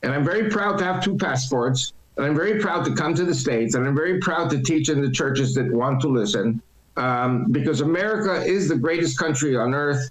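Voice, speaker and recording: Through noticeable background noise, a man with a fairly high voice speaks with lively intonation and very even loudness. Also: fairly quick pace. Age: 70s. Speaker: political commentator and church speaker. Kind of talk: interview.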